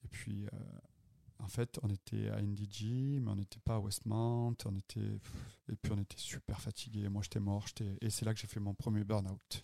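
Dry and close with no echo, a man's dark, mellow voice holds a monotone, flat intonation broken by long, frequent pauses. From southern France, Avignon and Marseille. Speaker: restaurateur and podcast co-host. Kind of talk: casual chat.

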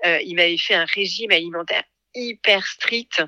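A woman with a fairly low pitch talks at a moderate pace, her tone bright and sharp and her intonation fairly even. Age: 40s. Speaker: podcast creator, former marketing director. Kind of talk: personal testimony interview.

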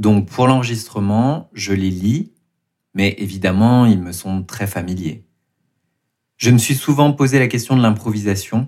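The recording is very clean, with a silent background. A man with a fairly low pitch and ordinary pitch variation talks at a fairly slow pace with long, frequent pauses. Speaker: podcast host and writer. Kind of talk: interview answers about creative process.

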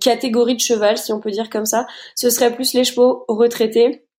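A woman's high-pitched voice. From Luxembourg. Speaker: equine massage therapist. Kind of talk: interview.

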